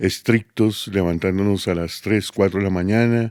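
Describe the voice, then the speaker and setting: A man talks fairly slowly in a fairly low, dark, mellow voice with monotone, flat intonation. The sound is dry and close with no echo, and the recording is very clean with a silent background. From Colombia, Bogotá. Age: 60s. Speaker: podcast guest, host's father. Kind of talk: casual interview, life story. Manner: halting, many fillers.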